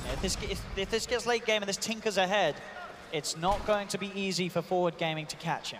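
Over noticeable background noise, a man with a high pitch talks at a fairly quick pace in an animated tone. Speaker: esports commentator. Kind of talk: live esports commentary. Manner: animated, fast-paced play-by-play.

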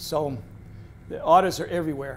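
With a New England accent, a man talks at a fairly slow pace in a fairly high pitch over light background noise. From central Massachusetts (Athol); Massachusetts. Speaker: retired naturalist and wildlife photographer; presenter. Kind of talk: public talk with slideshow. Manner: halting, frequent fillers. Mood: relaxed storytelling, friendly. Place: meeting room.

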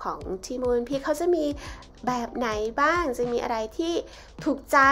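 Faint music plays behind a woman speaking at a high pitch. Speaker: travel vlogger. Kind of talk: casual vlog chat. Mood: cheerful, light. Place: cafe.

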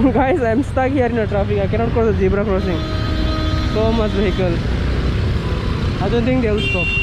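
Over music in the background, a man speaks at a fairly quick pace in a dry sound with no echo. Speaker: travel vlogger. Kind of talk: casual vlog chat. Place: street. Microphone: phone near.

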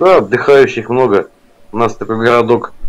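A man with a medium-pitched voice talks at a moderate speed. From Yeysk, Krasnodar region, Russia. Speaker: caller. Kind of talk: casual chat. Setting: video call. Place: home room.

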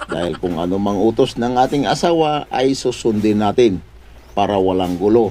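Male speaker, pitch swinging very widely, delivery at a moderate pace. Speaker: vlogger. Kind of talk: comedic vlog. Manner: animated.

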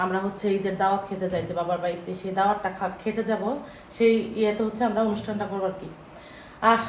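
Amid audible room echo and noticeable background noise, a woman speaks at medium pitch in a monotone, flat intonation. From Bangladesh, village of Rasulpur. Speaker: family vlogger. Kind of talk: casual vlog narration. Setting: outdoors in home village.

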